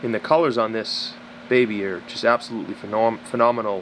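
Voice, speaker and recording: Noticeable background noise sits behind this recording. A man speaks with fairly even intonation. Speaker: snake breeder. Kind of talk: casual talk to camera.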